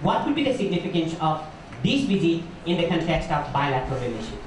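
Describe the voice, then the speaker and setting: Audible room echo and noticeable background noise both come through in this recording. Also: man. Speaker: moderator. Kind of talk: panel discussion. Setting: seminar hall with audience. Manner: halting, many fillers.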